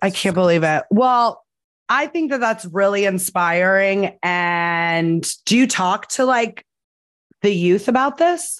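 A woman with an American accent speaks at a very slow pace in a medium pitch, her loudness very even and her intonation lively. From New Jersey. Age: 30s. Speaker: podcast host and casting director. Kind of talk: casual chat. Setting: video call.

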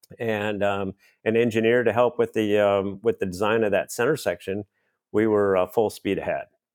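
In an American accent, a man speaks at a medium pitch and moderate pace with fairly even intonation on a very clean recording with a silent background. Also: dry, close sound with no echo. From Minnesota, US Midwest. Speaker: aerobatic pilot. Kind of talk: interview.

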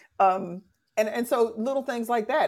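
Heard in a very clean recording with a silent background, a normal speaking voice moves at a moderate pace with ordinary pitch variation. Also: woman. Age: 60s. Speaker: podcast host, relationship educator. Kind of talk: casual chat. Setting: live-streamed audio room with audience.

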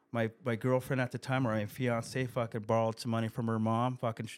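An American-accented man at a medium pitch and moderate pace, his intonation monotone and flat, on a very clean recording with a silent background. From California (East County San Diego). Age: 50s. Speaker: rock guitarist in recovery. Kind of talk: casual chat.

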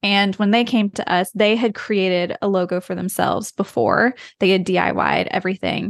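A woman with an American accent speaks in an unremarkable speaking voice at medium pitch and a moderate pace, with fairly even intonation, very even loudness and hardly any pauses, in a dry, close sound with no echo. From US, rural West Virginia. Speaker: brand designer, design studio founder. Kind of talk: casual interview.

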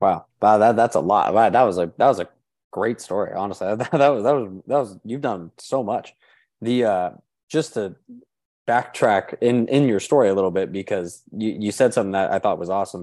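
Against a quiet background, a man talks in a normal speaking voice at a fairly quick pace, his pitch fairly low with ordinary variation. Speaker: podcast host. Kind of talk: casual interview chat.

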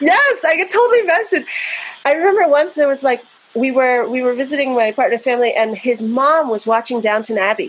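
Noticeable background noise surrounds a woman speaking in an American accent. Her pitch is high, her intonation lively, and her pace fairly quick. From US, New Jersey. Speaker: avant-garde vocalist and composer. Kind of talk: casual chat.

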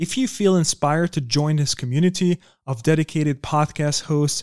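A man with a fairly high pitch and a non-native accent at a moderate pace, in a very clean recording with a silent background and a dry, close sound with no echo. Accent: foreign-accented English. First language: not English. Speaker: podcast host. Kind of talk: interview.

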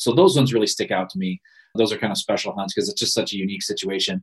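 A man with an American accent talks at a very fast pace. His voice sits at a medium pitch with ordinary pitch variation. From Michigan (Ludington). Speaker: outdoor TV show host and producer. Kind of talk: interview.

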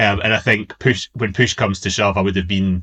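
In a west of Scotland accent, a man speaks at a fairly quick pace. His pitch is very deep and low, his intonation fairly even, and the background quiet. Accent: west of Scotland Scottish. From Scotland, Inverclyde. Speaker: former political advisor. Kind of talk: casual interview chat.

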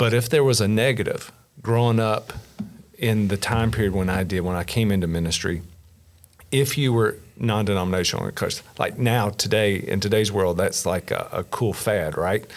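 A man speaks at a moderate pace with a Kentucky accent. His pitch is fairly low, with ordinary variation. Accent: Kentucky Southern US. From Kentucky, rural south central. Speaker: pastor. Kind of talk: casual interview.

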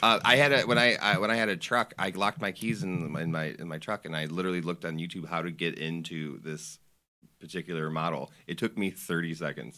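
In a very clean recording with a silent background, a man speaks at a very deep, low pitch in a bright, sharp tone. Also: ordinary pitch variation, fairly quick pace. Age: 30s. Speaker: old friend, cook. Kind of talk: casual chat.

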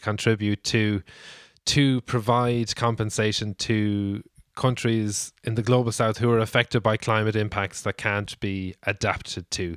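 Speaking at a moderate pace, a man has an Irish accent and a medium pitch. The recording is very clean with a silent background, dry and close with no echo. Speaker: podcast host. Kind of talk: casual chat, news roundup.

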